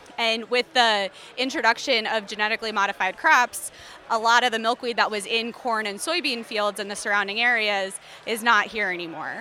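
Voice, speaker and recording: Noticeable background noise sits behind a woman with an American accent who talks at a fairly quick pace. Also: fairly high pitch for a woman, ordinary pitch variation. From Philadelphia. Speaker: entomologist. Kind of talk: interview.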